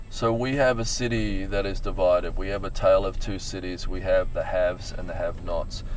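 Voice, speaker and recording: A man talks at a fairly quick pace with hardly any pauses, over noticeable background noise and audible room echo. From Australia. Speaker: mayor. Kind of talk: interview. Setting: in a car.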